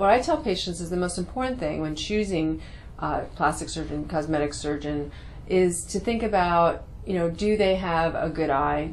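Vocal fry runs through a fairly quick delivery over light background noise. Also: woman. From New York City. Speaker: cosmetic surgeon and dermatologist. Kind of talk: promotional talk to camera; interview answer. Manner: hesitant with frequent fillers. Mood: calm, friendly. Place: office.

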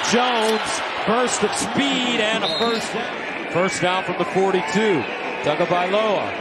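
A man's high voice, very slow, with ordinary pitch variation and noticeable background noise. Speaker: play-by-play announcer. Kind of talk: live college football play-by-play commentary. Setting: stadium broadcast booth. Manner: rising excitement on big plays.

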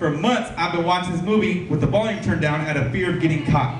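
A man talks at a fairly quick pace. There is noticeable background noise and audible room echo. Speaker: stand-up comedian. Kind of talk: stand-up comedy routine. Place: bar.

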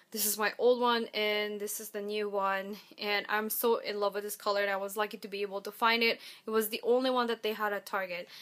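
Over a quiet background, a woman talks with monotone, flat intonation. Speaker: beauty vlogger. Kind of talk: casual vlog chat. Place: home room. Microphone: webcam.

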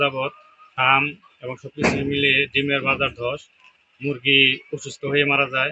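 A man speaks in a fairly high voice. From Bangladesh, Ghatail, Tangail. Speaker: poultry farmer. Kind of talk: interview statement.

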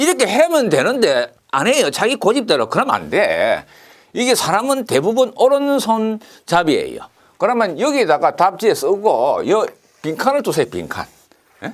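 Against a quiet background, the man's speech proceeds at a moderate pace. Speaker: engineering exam lecturer. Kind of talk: lecture. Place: studio. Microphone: lapel.

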